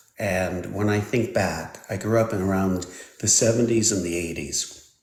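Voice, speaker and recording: There is audible room echo around a man with a fairly low pitch. He keeps a moderate pace and fairly even intonation. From Switzerland. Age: 60s. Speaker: technology expert. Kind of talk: live stream interview. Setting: live stream.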